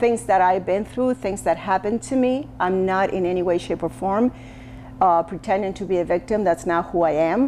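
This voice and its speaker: Her intonation lively, a woman speaks at a moderate pace in a medium pitch. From Argentina, Buenos Aires. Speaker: social media commentator. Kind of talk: personal testimony monologue. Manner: halting, self-correcting.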